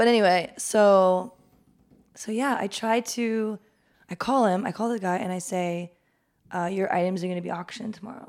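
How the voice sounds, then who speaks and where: On a very clean recording with a silent background, a woman in a normal speaking voice with an American accent talks at a moderate pace, with medium pitch and ordinary pitch variation. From Los Angeles, San Fernando Valley. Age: 30s. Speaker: artist and small business owner. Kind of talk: casual chat.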